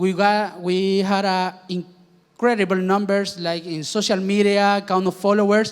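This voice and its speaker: Speech comes at a fairly slow pace with hardly any pauses. The intonation is monotone and flat. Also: man, high pitch for a man. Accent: Spanish. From Chile. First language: Spanish. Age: 20s. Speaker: startup founder. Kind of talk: panel presentation.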